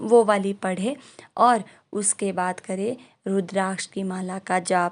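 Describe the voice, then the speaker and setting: A woman's medium-pitched voice with fairly even intonation against a quiet background. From rural northern India. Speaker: vlogger. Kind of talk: ritual tutorial. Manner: casual, with hesitations.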